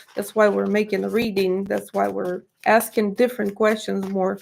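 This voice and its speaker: A woman speaks at a moderate pace with a Russian accent. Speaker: tarot reader. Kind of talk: tarot reading monologue. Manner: halting, many fillers.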